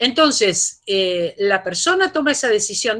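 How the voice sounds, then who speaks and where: A woman is speaking. Her voice has a bright, sharp tone. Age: 60s. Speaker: philosophy professor. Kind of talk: lecture Q&A answer.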